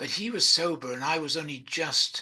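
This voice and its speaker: A man speaks with an English accent. His tone is bright and sharp. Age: 80s+. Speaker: recovering addict sharing his story. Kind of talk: personal testimony. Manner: hesitant, many fillers.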